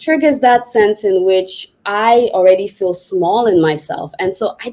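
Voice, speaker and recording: In a dark, mellow tone, a woman with a non-native accent speaks at a fairly high pitch. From Nigeria, then Senegal. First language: not English. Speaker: counselor and psychotherapist. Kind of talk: casual chat.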